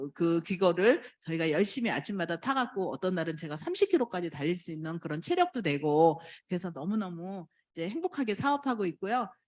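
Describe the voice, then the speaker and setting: A woman with a normal speaking voice talks at a fairly quick pace and a medium pitch with lively intonation, on a very clean recording with a silent background. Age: 60s. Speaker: network marketing distributor. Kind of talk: testimony speech.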